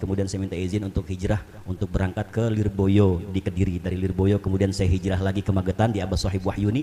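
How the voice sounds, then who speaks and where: A man's somewhat breathy, fairly low-pitched voice at a very fast pace, with monotone, flat intonation. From Jakarta area (Rawa Bokor, Betawi), long in East Java. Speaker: Islamic preacher. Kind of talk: sermon. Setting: prayer hall gathering with audience.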